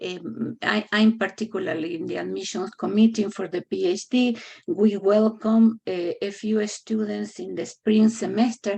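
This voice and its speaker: With big swings in loudness, a woman with a dark, mellow tone talks at a moderate pace and fairly even intonation. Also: medium pitch for a woman. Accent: non-native. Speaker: public health faculty member. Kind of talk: meeting presentation. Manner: halting, many fillers.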